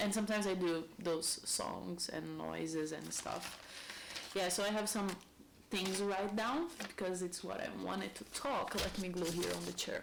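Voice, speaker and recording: Delivered at a moderate pace in a Brazilian accent, the speech comes with noticeable background noise and audible room echo. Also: woman. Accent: Brazilian accent, non-native English. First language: Portuguese. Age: 30s. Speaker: lifestyle vlogger. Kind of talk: casual monologue.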